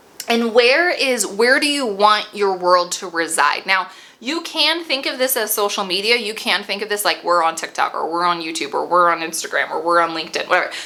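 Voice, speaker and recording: A woman's fairly quick speech at medium pitch with very wide pitch swings and hardly any pauses, over noticeable background noise. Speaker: business consultant. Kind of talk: tutorial.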